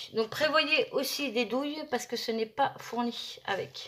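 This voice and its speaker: A woman's high voice at a very slow pace, with very wide pitch swings, amid noticeable background noise. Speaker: craft youtuber. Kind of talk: tutorial. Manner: halting, many hesitations.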